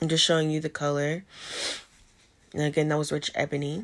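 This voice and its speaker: A woman speaks quietly at a very deep, low pitch, monotone and flat, in a very clean recording with a silent background. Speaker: beauty vlogger. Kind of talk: voice-over makeup tutorial. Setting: home with ring light.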